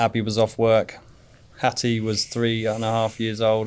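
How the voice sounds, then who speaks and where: This is a man with a British accent. His pitch is medium. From England. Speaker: father of a child cancer survivor. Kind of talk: interview.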